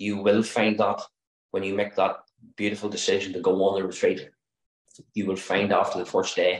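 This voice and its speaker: Against a quiet background, a man with a Northern Irish accent speaks with audible room echo. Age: 50s. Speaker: interior designer, retreat participant. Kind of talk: testimonial. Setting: video call. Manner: earnest, pleading. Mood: earnest, heartfelt. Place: home room. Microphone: video call.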